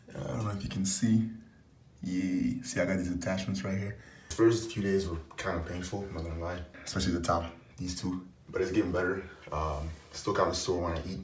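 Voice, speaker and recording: The voice is somewhat breathy, with ordinary pitch variation and a fairly quick pace. Long, frequent pauses break it up, and audible room echo surrounds it. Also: man, very deep, low pitch for a man. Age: 20s. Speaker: YouTuber. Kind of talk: product review vlog. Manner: fast; casual.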